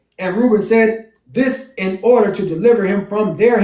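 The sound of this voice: An unforced reading voice.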